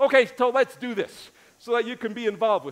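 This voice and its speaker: Speaking at a fairly quick pace, a man with an American accent uses an animated tone and an extremely high pitch. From US, New York City. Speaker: pastor. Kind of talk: sermon. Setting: church. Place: church. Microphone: headset.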